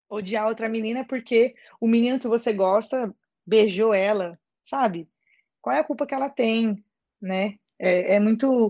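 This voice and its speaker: Against a quiet background, in a dry, close sound with no echo, a woman with a fairly high pitch and a dark, mellow tone talks at a moderate pace with ordinary pitch variation. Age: 20s. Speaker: actress and social media creator. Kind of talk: casual chat. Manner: animated.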